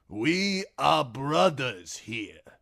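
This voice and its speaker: Putting on a character voice, a man speaks with very wide pitch swings. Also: medium pitch for a man. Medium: read story. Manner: fervent, declaiming.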